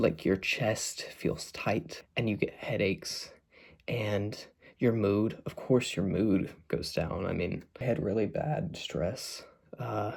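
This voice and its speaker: A soft-spoken man talks at a very slow pace in a fairly low, somewhat breathy voice. His intonation is lively. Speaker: mental health vlogger. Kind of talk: casual talk to camera. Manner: soft-spoken, getting quieter; hesitant, many fillers.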